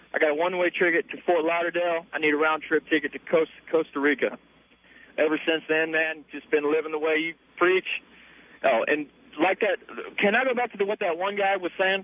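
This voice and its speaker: A man speaks with an American accent in a high voice. His pace is fairly quick and his pitch varies in an ordinary way. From US South. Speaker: caller. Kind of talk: radio call-in conversation. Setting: phone call. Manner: casual.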